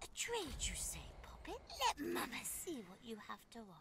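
A put-on character voice speaks at a moderate pace. Loud background noise runs underneath. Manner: creepy, sly.

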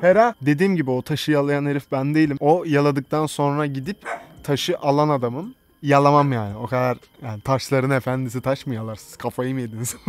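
A man's fairly high voice, ordinary pitch variation, and a fairly quick pace. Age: 20s. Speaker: YouTuber. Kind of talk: casual Q&A video. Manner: casual, frequent laughter.

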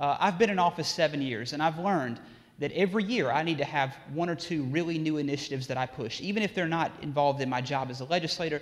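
Very fast pace with ordinary pitch variation. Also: man, fairly high pitch for a man. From Mississippi. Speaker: state legislator. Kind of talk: motivational speech to youth audience. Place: hall. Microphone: lapel.

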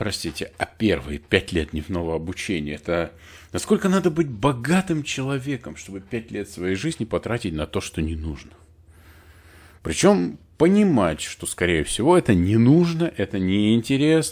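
On a very clean recording with a silent background, a man talks at a moderate pace in a fairly low pitch with very wide pitch swings. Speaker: IT and organizational development consultant, channel host. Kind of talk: solo educational talk to camera. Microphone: new studio recording system.

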